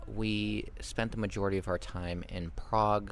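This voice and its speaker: A man talks with an American accent. Audible room echo surrounds his voice. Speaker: travel vlogger. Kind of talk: vlog outro monologue. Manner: casual with frequent fillers.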